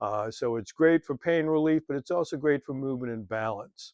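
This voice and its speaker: A man speaks in an unremarkable speaking voice at a moderate pace, with ordinary pitch variation. The sound is dry and close, with no echo. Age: 60s. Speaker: fitness instructor. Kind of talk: tutorial. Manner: casual, with frequent fillers.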